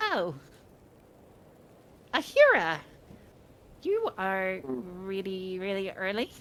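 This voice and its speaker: A woman uses a put-on character voice at a medium pitch. She speaks at a very slow pace with long, frequent pauses. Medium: actual play. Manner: warm, fussing.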